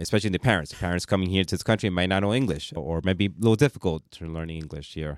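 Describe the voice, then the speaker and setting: In a very deep, low voice, a man talks very fast with hardly any pauses and ordinary pitch variation, the sound dry and close with no echo on a very clean recording with a silent background. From New York, Bronx. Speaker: radio host. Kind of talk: interview. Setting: radio studio.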